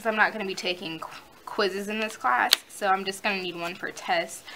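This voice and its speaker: Over noticeable background noise, a woman with a medium pitch talks at a moderate pace with ordinary pitch variation. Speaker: college student vlogger. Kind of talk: tutorial.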